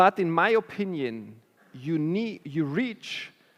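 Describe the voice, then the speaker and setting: High-pitched speech from a man on a very clean recording with a silent background. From Germany. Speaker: chief product officer. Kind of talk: Q&A at a conference talk. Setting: stage with audience.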